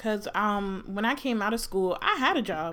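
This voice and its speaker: Her fairly high-pitched voice moves at a fairly slow pace, with lively intonation. The woman's tone is animated, and there is noticeable background noise. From New Jersey. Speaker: podcast co-host. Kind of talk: casual chat. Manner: animated, laughing often.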